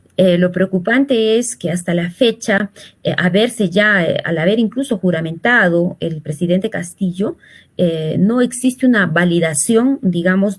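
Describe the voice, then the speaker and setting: A somewhat breathy woman's voice, medium in pitch, with lively intonation at a moderate pace. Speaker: social communicator, political commentator. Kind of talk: political interview. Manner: hesitant, many fillers.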